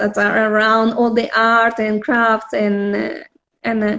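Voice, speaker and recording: A woman with a Spanish accent speaks at a fairly high pitch in a flat monotone. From Spain. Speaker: visual artist. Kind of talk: casual interview. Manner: halting, many fillers.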